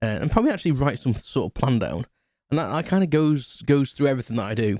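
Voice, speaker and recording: Very fast and lively, a man speaks at medium pitch in a dark, mellow tone on a very clean recording with a silent background. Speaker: podcast host. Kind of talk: casual solo podcast chat. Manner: halting, many fillers and restarts.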